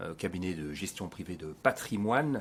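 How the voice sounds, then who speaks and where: Lively intonation carries speech delivered at a moderate pace. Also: man. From Belgium (Binche, Hainaut). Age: 50s. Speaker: business owner. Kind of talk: podcast interview. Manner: hesitant, many fillers.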